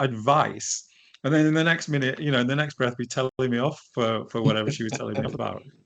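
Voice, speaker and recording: Man with a northern English accent against a quiet background. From northern England, edge of Lake District. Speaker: leadership coach. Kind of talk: interview. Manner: hesitant, many false starts.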